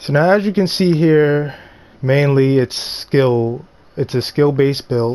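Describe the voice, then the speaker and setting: In a very clean recording with a silent background, a man talks at a fairly slow pace in a dark, mellow tone. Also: ordinary pitch variation. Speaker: gaming YouTuber. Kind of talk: tutorial. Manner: halting.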